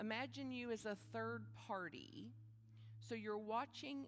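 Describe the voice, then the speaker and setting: A woman's soothing tone at a medium pitch, fairly slow, with very wide pitch swings and music in the background. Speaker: spiritual leader. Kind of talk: guided meditation. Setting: church service. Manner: slow, calm, with long pauses between prompts; soothing, repetitive, affirming.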